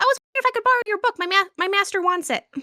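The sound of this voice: A put-on character voice comes at a very fast pace. It is squeaky and extremely high in pitch.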